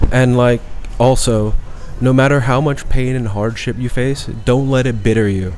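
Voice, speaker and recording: Amid noticeable background noise and audible room echo, a man speaks at a moderate pace and medium pitch with fairly even intonation. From Thailand (Bangkok), half Thai half British. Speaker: chef. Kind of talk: podcast interview. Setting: studio with headset microphones. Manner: fluid, natural.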